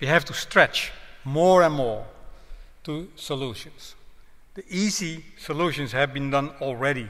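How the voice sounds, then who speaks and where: A man with a Dutch accent talks fairly slowly in a bright, sharp, fairly high voice, his loudness swinging widely. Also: ordinary pitch variation. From Netherlands. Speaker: road safety professor; guest lecturer. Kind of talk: public lecture; lecture. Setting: town hall with audience. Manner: hesitant, with fillers. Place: hall. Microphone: podium.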